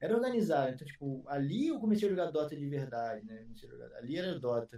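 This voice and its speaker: Talking at a very fast pace, this man has a dark, mellow tone. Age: 30s. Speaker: esports commentator and streamer. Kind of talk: casual chat.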